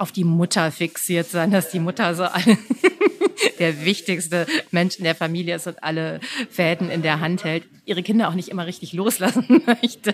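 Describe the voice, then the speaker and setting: A woman talks at a fairly quick pace in a medium pitch. Noticeable background noise sits behind her. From Düsseldorf, Germany. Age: 40s. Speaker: writer. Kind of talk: interview.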